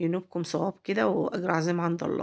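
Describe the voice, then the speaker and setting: Speaking at a fairly quick pace with an Egyptian accent, a woman keeps her fairly low voice fairly even in intonation over a quiet background. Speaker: cooking channel host. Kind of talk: cooking tutorial. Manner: halting, with fillers and repeats; warm, chatty.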